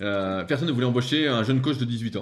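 Talking at a very fast pace, a man uses a medium pitch with ordinary pitch variation. His voice is somewhat breathy. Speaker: strength training coach. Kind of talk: casual interview.

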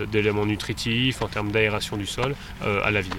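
Speaking at a moderate pace, a man with a fairly low pitch is heard over noticeable background noise. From northern France. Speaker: winegrower. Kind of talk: field interview. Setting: outdoors in vineyard.

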